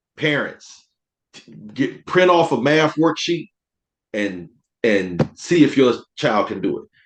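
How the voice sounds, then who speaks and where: This man has a South Carolina accent. His pitch sits fairly high. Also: long, frequent pauses. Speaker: teacher and veteran. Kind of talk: casual chat.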